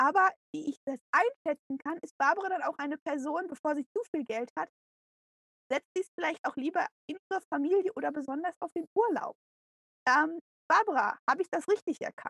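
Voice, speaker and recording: With long, frequent pauses, a woman speaks at an extremely high pitch and with lively intonation. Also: moderate pace, dry, close sound with no echo. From Canada. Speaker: podcast co-host. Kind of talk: casual chat.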